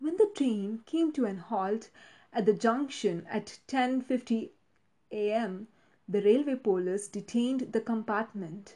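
Over a quiet background, a woman with a fairly high pitch and a somewhat breathy voice speaks at a very slow pace with ordinary pitch variation. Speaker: true crime podcast host. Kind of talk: true-crime narration. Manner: grave, measured storyteller's delivery, reading out gruesome case details.

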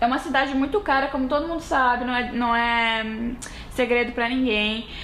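A woman speaks with a high pitch and ordinary pitch variation. Noticeable background noise and audible room echo fill the recording. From Brazil, Rio Grande do Sul (western border near Uruguaiana). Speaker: podcast co-host. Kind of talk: casual chat.

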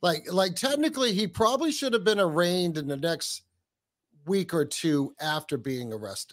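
Speaking at a moderate pace in a New England accent, a man with a high pitch makes very wide pitch swings on a very clean recording with a silent background. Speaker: podcaster, co-host. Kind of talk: casual discussion.

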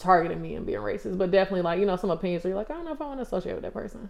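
A woman with a medium-pitched voice and lively intonation speaks against noticeable background noise. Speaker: former college basketball player, pro overseas. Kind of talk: casual chat interview.

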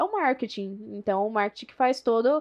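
Against a quiet background, a woman with a Minas Gerais accent talks in a fairly high pitch with lively intonation. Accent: Minas Gerais (mineiro). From São José do Rio Preto, São Paulo state, Brazil. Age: 20s. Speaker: real estate marketing professional. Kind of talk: casual interview. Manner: talkative.

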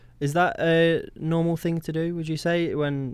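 A man's voice in a British accent, with fairly even intonation. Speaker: co-host, student. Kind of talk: casual chat.

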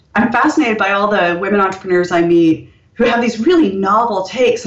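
Over noticeable background noise, a woman speaks at a medium pitch with an American accent. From India, then United States. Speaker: author. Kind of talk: interview.

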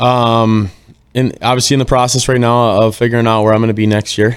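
Talking at a fairly quick pace, a man speaks with an Upper Midwest accent. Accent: Upper Midwest American. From Minnesota (Northfield). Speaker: professional hockey player. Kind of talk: casual chat.

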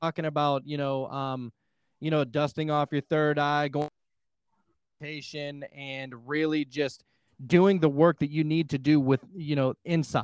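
A man with an American accent speaks at a fairly slow pace in a fairly high pitch and a monotone, flat intonation. The sound is dry and close with no echo, over a quiet background. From Pittsburgh, US. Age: 20s. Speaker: podcaster and hypnotherapist. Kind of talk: casual chat.

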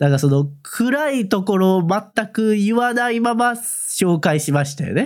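With a Kansai accent, a man speaks in a high pitch with very wide pitch swings and hardly any pauses, on a very clean recording with a silent background. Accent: Kansai Japanese. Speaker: manga podcast co-host. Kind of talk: casual chat.

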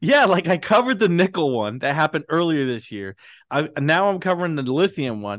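Over a quiet background, a man with an American accent talks at a fairly quick pace in a fairly high voice with very wide pitch swings. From Britain, then US. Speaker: podcast host, stock market commentator. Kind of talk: casual chat.

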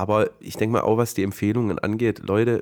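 A man's fairly low voice at a very fast pace, monotone and flat. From Swabia, southern Germany. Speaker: podcast host. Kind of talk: casual chat.

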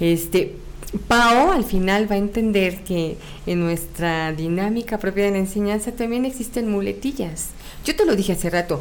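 Audible room echo surrounds a woman speaking at a moderate pace, her medium pitch showing ordinary variation. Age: 40s. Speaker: teacher. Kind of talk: casual interview.

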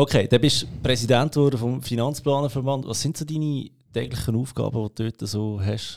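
Against a silent background in a very clean recording, a man with a medium-pitched voice talks at a moderate pace, his intonation fairly even. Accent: Swiss. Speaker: podcast host. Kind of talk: podcast interview. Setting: podcast studio.

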